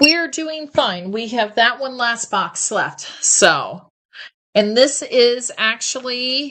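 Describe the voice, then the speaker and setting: A loud woman with a bright, sharp tone and a high pitch talks at a very slow pace, her intonation lively. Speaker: live shopping host. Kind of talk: live shopping presentation. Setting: livestream. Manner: animated. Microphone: echo in the sound.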